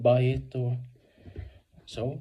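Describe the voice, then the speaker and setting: A man with a non-native accent talks at a medium pitch in a somewhat breathy voice. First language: Swedish. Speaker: video blogger. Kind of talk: casual book review monologue. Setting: at home. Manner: halting, many fillers.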